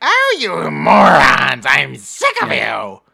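A put-on character voice unfolds very slowly. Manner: contemptuous, irritated, shouting at minions.

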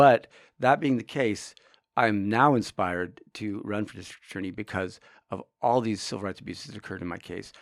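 Against a silent background in a very clean recording, a man with an ordinary speaking voice speaks at a fairly low pitch with ordinary pitch variation and big swings in loudness. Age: 50s. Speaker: lawyer. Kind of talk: casual chat.

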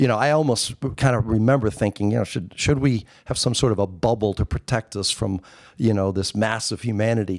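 A man speaks fairly quickly in a normal speaking voice, medium in pitch with ordinary pitch variation. The recording is very clean, with a silent background. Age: 50s. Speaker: video producer. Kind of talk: casual chat. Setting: hotel suite in Las Vegas, on location.

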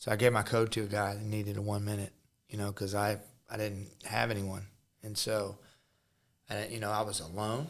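With a Midwestern US accent, a man speaks at a fairly low pitch in a monotone, flat intonation. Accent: US Midwest. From Missouri. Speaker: podcast host, ministry leader. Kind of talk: faith interview.

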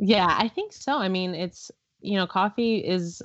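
Her voice is a plain, everyday voice, medium in pitch for a woman, with ordinary pitch variation. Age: 20s. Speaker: CrossFit athlete and coach. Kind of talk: casual chat.

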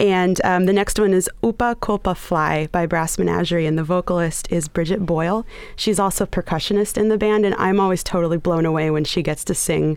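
With hardly any pauses and a fairly quick pace, a woman talks at a medium pitch in a plain, everyday voice, her intonation fairly even. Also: very even loudness. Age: young. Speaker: music journalist. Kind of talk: radio interview. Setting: radio studio.

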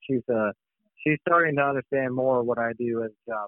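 At a moderate pace, a man talks in an ordinary speaking voice at medium pitch. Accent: American. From US Midwest, Missouri. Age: 30s. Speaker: waterfowl hunting outfitter. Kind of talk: casual interview.

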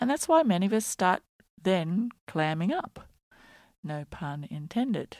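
A woman with an Australian accent speaks at a fairly slow pace, her voice dry and close with no echo, in a very clean recording against a silent background. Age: 50s. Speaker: podcast host, journalist and performance artist. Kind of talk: scripted monologue. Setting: home bedroom.

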